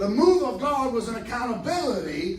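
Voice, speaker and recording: Amid audible room echo and noticeable background noise, a high-pitched man talks at a moderate pace with very wide pitch swings. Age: 60s. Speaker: preacher. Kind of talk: sermon. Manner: animated.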